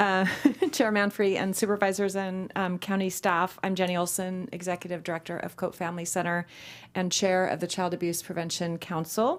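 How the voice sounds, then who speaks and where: Recorded very cleanly against a silent background, a woman at a medium pitch speaks in an ordinary speaking voice at a moderate pace with fairly even intonation. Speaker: nonprofit executive director. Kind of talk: public presentation. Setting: public meeting chamber.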